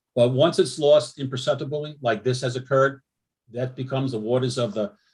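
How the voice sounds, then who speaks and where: The very clean recording, silent in the background, carries a man's somewhat breathy, medium-pitched voice at a fairly quick pace. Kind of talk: public meeting presentation. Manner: fast.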